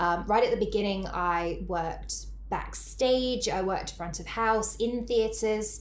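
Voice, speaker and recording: A woman speaks with a British accent at a fairly slow pace. She leaves hardly any pauses. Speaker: burnout coach and yoga teacher. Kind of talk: casual interview, telling her story.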